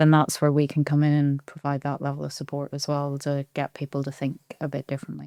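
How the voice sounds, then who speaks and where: A woman with a Belfast accent speaks at a moderate pace in a dark, mellow tone, captured with a dry, close sound with no echo in a very clean recording with a silent background. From Belfast, Northern Ireland. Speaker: business efficiency consultant. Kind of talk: podcast interview.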